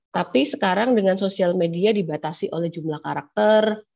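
A woman with an unremarkable speaking voice talks at a moderate pace with fairly low pitch. Her pitch variation is ordinary, and the background is quiet. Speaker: law lecturer. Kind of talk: online lecture. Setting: video call. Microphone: unstable connection, audio cutting out; webcam.

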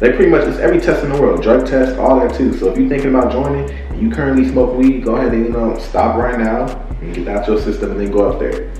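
A man's very fast speech with hardly any pauses, light background noise and audible room echo. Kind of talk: casual vlog chat. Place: home room.

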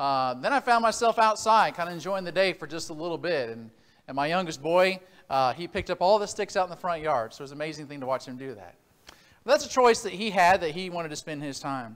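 The delivery runs at a very fast pace with big swings in loudness. The background is quiet. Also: man. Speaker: preacher. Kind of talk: sermon. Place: church.

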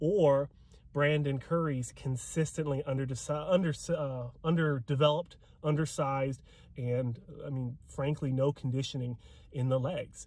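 A man speaks at a moderate pace with fairly even intonation. His voice is somewhat breathy, and the sound is dry with no echo. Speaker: bodybuilding commentator. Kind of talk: casual vlog commentary. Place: car. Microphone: phone near.

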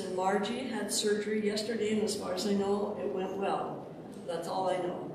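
At a moderate pace, speech comes through strong room echo and noticeable background noise. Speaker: pastor. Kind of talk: church announcements. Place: church. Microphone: camera far.

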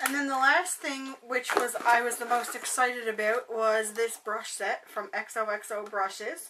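A woman talks at a fairly slow pace with hardly any pauses. Her pitch is fairly high with ordinary variation, and background noise is noticeable. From Canada. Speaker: beauty vlogger. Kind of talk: casual vlog, unboxing. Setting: bedroom at home, recording alone. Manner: chatty, friendly.

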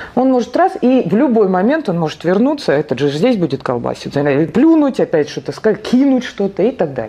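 A woman talks at a fairly quick pace with very wide pitch swings. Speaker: psychotherapist; presenter. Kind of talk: lecture. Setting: stage with audience. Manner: halting. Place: meeting room.

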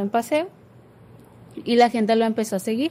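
Lively intonation marks this woman's fairly high-pitched voice. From Culiacán, Sinaloa, Mexico; Sinaloa, Mexico. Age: 20s. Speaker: graphic design student; guest. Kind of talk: casual faith discussion. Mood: calm, reflective. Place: studio. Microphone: studio mic.

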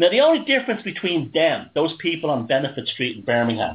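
Speaking with a Dublin accent, a man uses lively intonation. His pitch is fairly high and his pace is moderate. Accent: Dublin Irish. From Ireland, Dublin working-class area. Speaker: radio show host. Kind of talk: casual chat.

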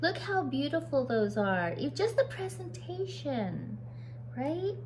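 Over clear background noise, a woman talks at a fairly slow pace with big pitch swings.

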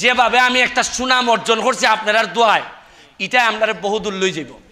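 A man with an extremely high pitch raises and projects his voice with fairly even intonation. Noticeable background noise is present. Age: 40s. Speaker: member of parliament. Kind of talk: public speech.

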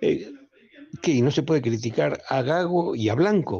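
With a dark, mellow tone and a somewhat breathy quality, a man talks at a fairly slow pace, his pitch swinging very widely. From Argentina. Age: 70s. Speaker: caller (football fan). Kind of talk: listener message. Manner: animated. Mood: indignant, critical. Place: studio. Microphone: studio mic.

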